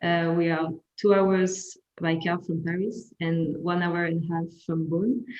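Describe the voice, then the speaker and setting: A woman with a French accent talks at a fairly slow pace in a fairly low pitch, her intonation fairly even. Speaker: winemaker. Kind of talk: wine tasting presentation. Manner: halting.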